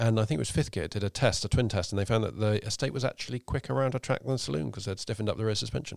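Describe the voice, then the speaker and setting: A man speaks very fast in a fairly low voice with vocal fry and ordinary pitch variation. The recording is very clean and dry, close-miked with no echo against a silent background. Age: 30s. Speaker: podcast host. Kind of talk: casual chat. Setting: studio.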